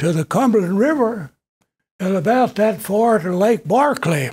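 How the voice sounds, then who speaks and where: A man with a Kentucky accent and a high pitch, his intonation lively and his pace fairly slow. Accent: Southern US (Kentucky). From western Kentucky. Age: 80s+. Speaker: retired educator and local historian. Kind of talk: public talk, memoir lecture. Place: meeting room. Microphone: podium.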